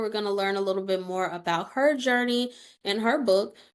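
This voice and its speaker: An unremarkable speaking voice from a woman, moderate in pace, with lively intonation. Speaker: podcast host. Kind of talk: podcast interview questions.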